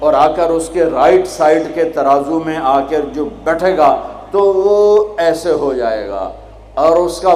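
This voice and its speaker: A man at a high pitch with ordinary pitch variation, amid noticeable background noise. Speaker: Islamic preacher. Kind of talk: religious sermon. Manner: emotional, animated, storytelling.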